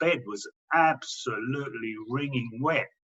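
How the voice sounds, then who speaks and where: This man has an English accent. He keeps a fairly even intonation. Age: 60s. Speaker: cancer patient. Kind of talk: testimony. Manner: halting, with repetitions.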